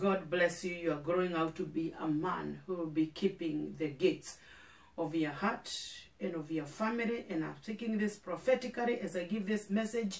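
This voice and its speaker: A woman's fairly low voice with ordinary pitch variation at a moderate pace, plus audible room echo. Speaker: pastor. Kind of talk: sermon. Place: studio.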